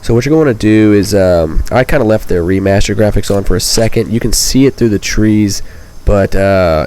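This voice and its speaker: Noticeable noise fills the background while a man talks at a fairly brisk pace. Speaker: gaming youtuber. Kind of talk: gameplay tutorial commentary. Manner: casual, many fillers.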